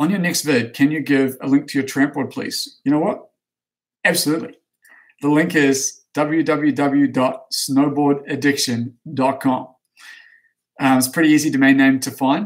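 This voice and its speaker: A man speaks at a moderate pace in an unremarkable speaking voice. His pitch is fairly high, and his intonation stays fairly even. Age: 30s. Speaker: snowboard coach and company owner. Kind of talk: live stream Q&A reading chat questions. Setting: office, live stream. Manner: casual, with frequent fillers.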